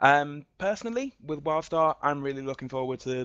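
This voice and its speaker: Against a quiet background, a man with an English accent talks at a fairly quick pace. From England. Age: 20s. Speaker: community moderator. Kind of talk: self-introduction in online town hall.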